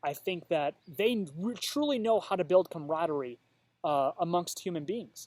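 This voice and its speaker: A man with an American accent speaks at a moderate pace in a high pitch, his intonation lively. The recording is very clean with a silent background and a dry, close sound with no echo. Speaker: vlogger. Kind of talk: casual vlog monologue. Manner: halting, stuttering.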